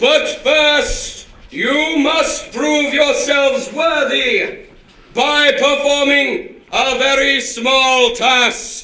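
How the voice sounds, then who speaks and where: A man does a put-on character voice at an extremely high pitch. He talks at a very slow pace with a slight echo. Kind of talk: comic overacting. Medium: stage play. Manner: booming, imperious.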